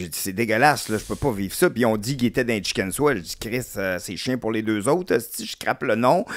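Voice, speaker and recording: Lively intonation at a fairly quick pace, with hardly any pauses and a dry sound with no echo. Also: man, medium pitch for a man. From Quebec. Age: 50s. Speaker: comedian. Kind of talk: casual chat. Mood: relaxed, candid, humorous. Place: studio. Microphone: studio mic.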